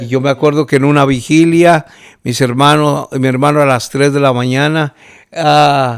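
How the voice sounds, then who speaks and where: A man with a fairly high pitch speaks at a fairly slow pace. His intonation is monotone and flat. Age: 60s. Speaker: pastor. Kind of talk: testimony. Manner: halting, with many fillers.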